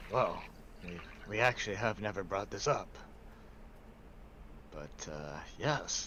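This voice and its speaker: Over clear background noise, a man in a put-on character voice with a fairly low pitch speaks at a fairly slow pace with long, frequent pauses. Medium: actual play. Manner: formal, measured, thoughtful hums.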